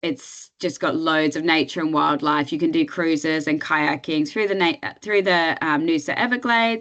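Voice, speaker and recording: This is a plain, everyday voice at a moderate pace, with very even loudness and ordinary pitch variation. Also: woman, fairly low pitch for a woman. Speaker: tourism destination representative. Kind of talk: webinar presentation. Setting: online webinar.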